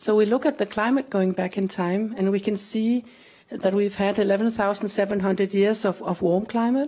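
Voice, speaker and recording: In a Danish accent, a woman with a dark, mellow tone speaks somewhat breathily at a fairly slow pace with fairly even intonation against a quiet background. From Denmark. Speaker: glaciologist, research scientist; guest. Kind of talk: panel talk; interview answer. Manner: halting. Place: stage. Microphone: handheld.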